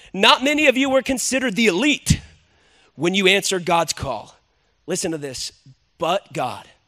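Raising and projecting his voice, a man speaks in an animated, bright, sharp tone at a high pitch, with very wide pitch swings and long, frequent pauses. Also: moderate pace. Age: 30s. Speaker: pastor. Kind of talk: sermon.

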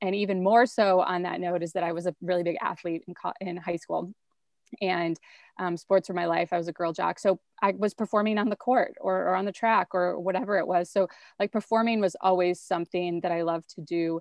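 In an unremarkable speaking voice, a woman with an American accent talks at a fairly quick pace, with medium pitch and fairly even intonation. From rural central Wisconsin. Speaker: TV host and pop culture commentator. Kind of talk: casual chat.

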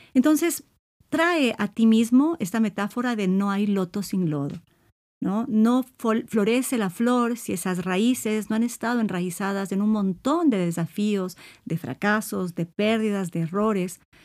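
Fairly high in pitch with lively intonation, a woman uses a normal speaking voice at a fairly slow pace on a very clean recording with a silent background. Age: 50s. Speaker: psychologist and podcast host. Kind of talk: solo podcast monologue on self-esteem.

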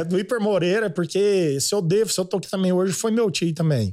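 A man with a rural Goiás accent talks at a very fast pace in a high voice, with ordinary pitch variation, very even loudness and hardly any pauses. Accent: Goiás rural Brazilian Portuguese. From Goiás (Goiânia). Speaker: agribusiness influencer. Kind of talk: casual chat.

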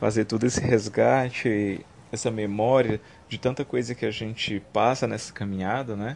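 A man with a normal speaking voice at a moderate pace. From Brazil, Fortaleza (Ceará). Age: 20s. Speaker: youth activist. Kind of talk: interview.

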